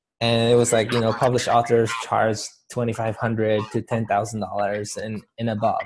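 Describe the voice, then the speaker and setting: A man with a Spanish accent, a monotone, flat intonation and a moderate pace, against a quiet background. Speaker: motivational speaker. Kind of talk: interview.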